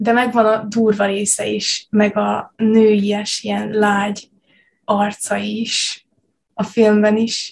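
A woman's fairly high, somewhat breathy voice, monotone with flat intonation, at a very slow pace. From Subotica, Vojvodina, Serbia. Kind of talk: casual chat.

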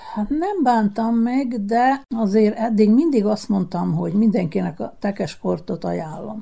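Fairly high and somewhat breathy, a woman's voice carries a dark, mellow tone and lively intonation. She talks at a fairly slow pace with hardly any pauses. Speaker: former world champion bowler. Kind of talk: radio interview.

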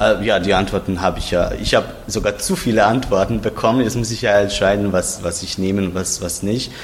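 Barely pausing, a man speaks at a fairly quick pace in a fairly low voice with fairly even intonation. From Croatia, Zagreb. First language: Croatian (speaking German). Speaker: literary translator. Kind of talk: interview. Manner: halting.

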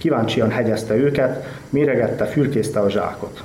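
Over noticeable background noise and audible room echo, a man of medium pitch speaks at a fairly slow pace. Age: young. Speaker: writer. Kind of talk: reading aloud.

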